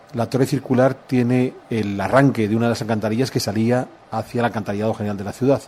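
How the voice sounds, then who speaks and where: A man speaks with a Spanish accent. His pace is very fast. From Spain. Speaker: historian. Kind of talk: interview.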